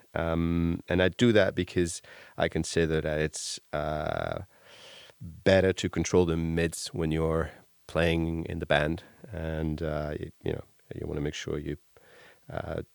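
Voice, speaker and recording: A man with a non-native accent and a very deep, low pitch talks at a fairly slow pace in a monotone, flat delivery, leaving long, frequent pauses, in a very clean, dry, close recording with a silent background and no echo. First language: not English. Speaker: bass gear reviewer. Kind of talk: casual improvised demo. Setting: home workshop. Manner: halting, many fillers.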